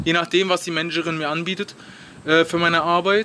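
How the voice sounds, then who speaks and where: A high-voiced man with fairly even intonation at a moderate pace. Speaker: travel vlogger. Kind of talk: vlog. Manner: hesitant, many fillers; casual.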